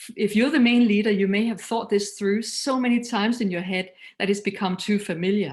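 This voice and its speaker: A somewhat breathy woman with a Danish accent, medium pitch and moderate pace. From Denmark. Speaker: missions leader and speaker. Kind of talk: recorded talk.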